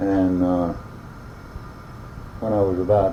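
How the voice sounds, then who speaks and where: A man with an Alabama accent speaks in a very deep, low pitch, with noticeable background noise and audible room echo. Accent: Southern US (Alabama). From US South, northern Alabama. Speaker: oral history interviewee. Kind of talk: oral history interview. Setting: at his home. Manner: hesitant, many uh fillers.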